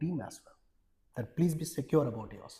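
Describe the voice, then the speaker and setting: Somewhat breathy and dark and mellow in tone, a man speaks at a fairly high pitch with lively intonation. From India, Odisha. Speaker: HR executive. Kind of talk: interview conversation.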